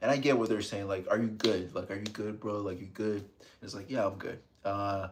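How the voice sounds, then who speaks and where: Speaking at a fairly quick pace with a South Florida accent, a man uses a fairly low pitch and fairly even intonation. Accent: American, South Florida. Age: 30s. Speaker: ASMR streamer. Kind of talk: live stream chat. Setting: live stream. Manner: soft-spoken, calm ASMR tone; low volume. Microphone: close to the microphone.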